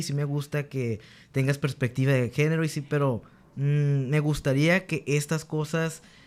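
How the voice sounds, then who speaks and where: Moving at a moderate pace, a man speaks with a fairly high pitch. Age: 20s. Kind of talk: casual chat. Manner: halting.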